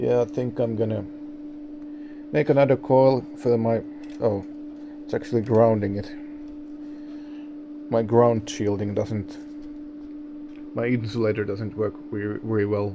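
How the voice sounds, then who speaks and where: Mumbling at a fairly slow pace with fairly even intonation, a medium-pitched man leaves long, frequent pauses against noticeable background noise. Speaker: radio amateur. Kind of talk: tutorial. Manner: halting.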